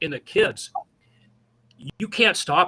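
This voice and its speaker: A man's bright, sharp voice at a fairly slow pace, recorded close and dry with no echo. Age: 60s. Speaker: community youth advocate. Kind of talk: radio interview.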